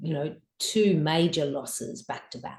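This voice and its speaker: Speaking at a moderate pace, a woman with an Australian accent has a dark, mellow tone. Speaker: author and grief guide. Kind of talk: interview testimony.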